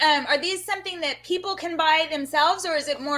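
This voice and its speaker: A woman's raised, projected voice with an American accent, lively intonation and a fairly quick pace. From Texas. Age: 40s. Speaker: cooking co-host. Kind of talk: casual chat. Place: home room. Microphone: webcam.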